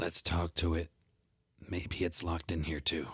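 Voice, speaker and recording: In a put-on character voice, a man speaks raspy and very deep at a moderate pace, flat and monotone, with dry, close sound and no echo. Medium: actual play. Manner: earnest.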